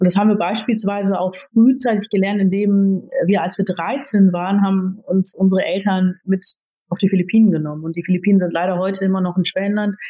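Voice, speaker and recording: Somewhat breathy and dark, mellow in tone, a woman speaks at a fairly quick pace with fairly even intonation. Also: medium pitch for a woman. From Germany. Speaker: IT executive. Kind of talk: interview.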